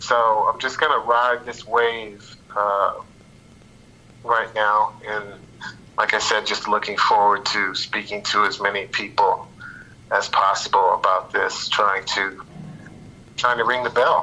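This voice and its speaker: Amid noticeable background noise, a man talks at a fairly slow pace with long, frequent pauses. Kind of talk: interview. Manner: halting, repeats words.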